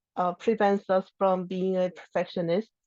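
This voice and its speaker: Dry and close with no echo, a woman with a non-native accent talks at a fairly slow pace and a medium pitch. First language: not English. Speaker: open source contributor. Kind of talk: lightning talk. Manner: halting.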